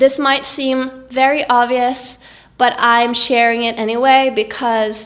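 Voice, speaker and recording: This woman speaks with a Norwegian accent. Her pitch sits fairly high. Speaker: vlogger. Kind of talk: tips vlog.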